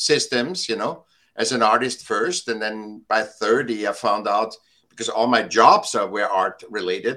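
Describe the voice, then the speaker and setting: A man with a bright, sharp tone speaks at a fairly slow pace. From Austria. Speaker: multimedia artist and educator. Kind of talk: interview.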